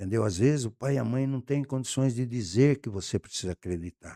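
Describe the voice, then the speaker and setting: Lively intonation marks this man's dark, mellow voice, delivered at a moderate pace in a dry, close sound with no echo. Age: 70s. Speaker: communications entrepreneur. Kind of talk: podcast interview.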